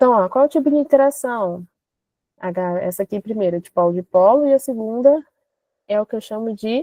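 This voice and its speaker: A woman with a fairly high pitch talks at a moderate pace, using ordinary pitch variation. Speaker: chemistry teacher. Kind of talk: online class lecture. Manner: animated.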